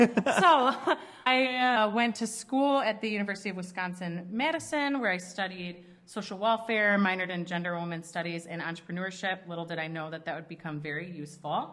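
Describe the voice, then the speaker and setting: A woman with a strong Midwestern accent speaks at a fairly quick pace. Her pitch sits in the medium range and her intonation is lively. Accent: strong Midwest. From Chicago suburbs, Illinois. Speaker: ministry leader. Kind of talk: podcast interview.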